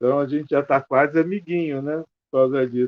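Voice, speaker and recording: This man has a fairly high pitch and a fairly even intonation. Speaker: film club organizer, panelist. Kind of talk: panel discussion.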